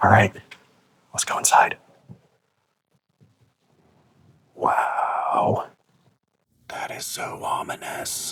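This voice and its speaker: In a raspy, put-on character voice, a man speaks at a very slow pace with long, frequent pauses. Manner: whispering.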